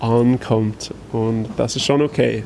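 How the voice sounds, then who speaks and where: Noticeable background noise sits behind this recording. A man speaks at a medium pitch with fairly even intonation. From Canada. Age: 30s. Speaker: kombucha brewer and company founder. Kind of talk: casual interview. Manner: halting.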